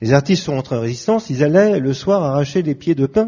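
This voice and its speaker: Very fast and somewhat breathy, a man speaks at a fairly high pitch with very wide pitch swings. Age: 60s. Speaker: pianist. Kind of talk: panel discussion.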